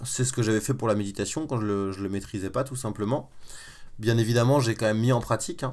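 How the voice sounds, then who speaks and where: A man talks very fast at a medium pitch with ordinary pitch variation, on a very clean recording with a silent background. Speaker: web entrepreneur and online course creator. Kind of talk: live-stream tutorial. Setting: live stream from a bedroom. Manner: informal, with many fillers.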